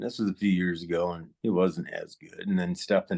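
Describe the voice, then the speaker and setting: In dry, close sound with no echo, a man speaks with a very deep, low voice. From South Dakota, US. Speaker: animal trainer. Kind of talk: casual interview storytelling. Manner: halting, many fillers.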